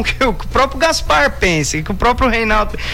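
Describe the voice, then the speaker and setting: Over noticeable background noise, a man with an extremely high pitch uses a raised, projected voice, talking at a fairly quick pace with lively intonation. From Brazil, Indaiatuba (São Paulo state). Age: 20s. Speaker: radio journalist and DJ. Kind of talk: radio interview.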